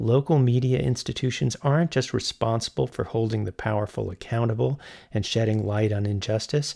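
A man with a dark, mellow tone speaks at a medium pitch, somewhat breathy, in a dry, close sound with no echo on a very clean recording with a silent background. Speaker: radio interviewer host. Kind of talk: interview, scripted intro.

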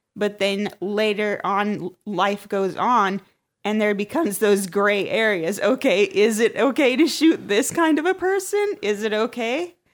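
In an ordinary speaking voice, a woman of medium pitch talks at a fairly slow pace with lively intonation. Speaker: podcast co-host. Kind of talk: casual comedic chat.

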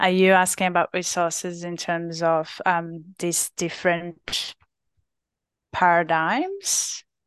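Very slow, monotone delivery with a Brazilian accent and flat intonation over a quiet background. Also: woman, fairly low pitch for a woman. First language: Portuguese. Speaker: physiotherapist and researcher. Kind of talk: interview. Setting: podcast.

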